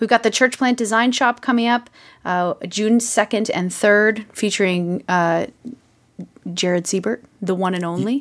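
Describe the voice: Here is a woman with an unremarkable speaking voice, pitched fairly high and showing ordinary pitch variation. She speaks at a fairly slow pace over a quiet background.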